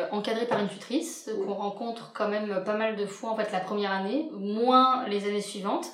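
Speaking at a fairly high pitch with ordinary pitch variation, a woman is heard with audible room echo and noticeable background noise. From France, Lyon. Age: 20s. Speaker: general practice resident. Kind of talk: casual interview.

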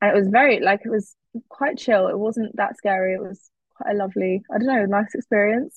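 Somewhat breathy and fairly high in pitch, a woman with a southern English accent speaks at a fairly quick pace with ordinary pitch variation. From England, Cambridge. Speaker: university student. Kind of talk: casual chat.

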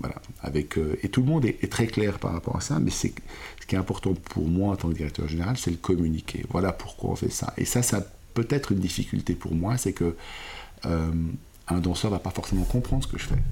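Somewhat breathy, a man speaks in a dark, mellow tone with a very deep, low pitch and lively intonation. His pace is fairly quick, broken by long, frequent pauses. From Switzerland, Lausanne (Vaud). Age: 40s. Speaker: ballet company director. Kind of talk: interview.

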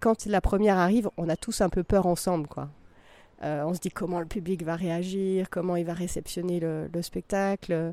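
In a dry, close recording with no echo, a woman with a fairly low voice speaks in a flat monotone. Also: moderate pace. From France, Vercors / Drôme. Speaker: concert hall programmer. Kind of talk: interview. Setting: at the auditorium. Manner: halting.

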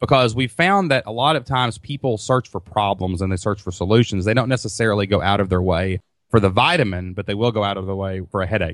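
A man with a Kentucky accent talks at a very fast pace, with hardly any pauses, a fairly low pitch and ordinary pitch variation. The recording is very clean, with a silent background. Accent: Southern US (Kentucky). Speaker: online business entrepreneur. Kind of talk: interview. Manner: loud; animated.

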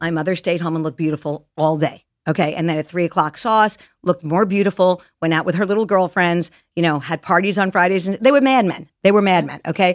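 Speaking very fast in an animated tone, a woman with a New York accent uses a fairly low pitch and ordinary pitch variation on a very clean recording with a silent background. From Long Island, New York. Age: 60s. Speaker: Hollywood stylist. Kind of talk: interview conversation.

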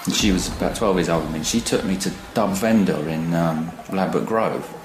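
A man with an Essex accent talks at a fairly quick pace, with music in the background and audible room echo. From Essex, England. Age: 40s. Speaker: photographer. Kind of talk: interview testimony.

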